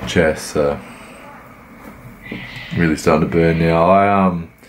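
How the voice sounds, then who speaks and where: Noticeable background noise accompanies a man with a very deep, low voice. He speaks at a moderate pace with fairly even intonation. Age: 20s. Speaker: amateur bodybuilder. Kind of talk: workout commentary vlog.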